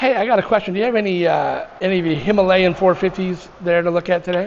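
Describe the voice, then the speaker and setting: A man talks at a very fast pace. His voice is high for a man, with fairly even intonation. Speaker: motorcycle vlogger. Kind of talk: casual vlog talk. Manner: halting, with ums and ahs.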